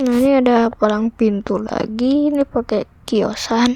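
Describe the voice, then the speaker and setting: A woman speaks quietly in a high pitch with fairly even intonation. Her pace is fairly slow, and background noise is noticeable. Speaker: gaming youtuber. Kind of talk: gameplay commentary. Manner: casual, chatty.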